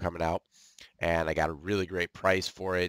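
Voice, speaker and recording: Against a silent background, a very clean recording captures a man talking. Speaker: tech gaming YouTuber. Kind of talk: casual gameplay commentary. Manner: hesitant, many fillers.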